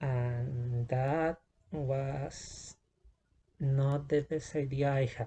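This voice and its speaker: A man speaks very slowly in a fairly high, somewhat breathy voice with a dark, mellow tone and monotone, flat intonation. He leaves long, frequent pauses over a quiet background. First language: not English. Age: 20s. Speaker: vlogger. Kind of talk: personal testimony vlog. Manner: halting, many fillers and restarts.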